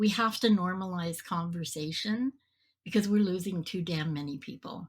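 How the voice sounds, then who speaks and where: A woman speaks at a medium pitch with ordinary pitch variation, somewhat breathy. The recording is very clean, with a silent background. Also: moderate pace. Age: 60s. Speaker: podcast host and mental health advocate. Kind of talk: interview.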